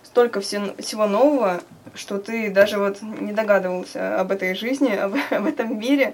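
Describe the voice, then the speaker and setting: A woman's ordinary speaking voice, fairly high in pitch, with ordinary pitch variation and a moderate pace. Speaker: student activist. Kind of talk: interview.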